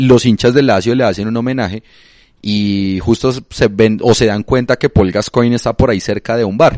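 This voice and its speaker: This man has an unremarkable speaking voice at medium pitch, with fairly even intonation. He moves at a moderate pace, and the sound is dry and close with no echo. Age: 20s. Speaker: football podcast co-host. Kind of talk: casual chat.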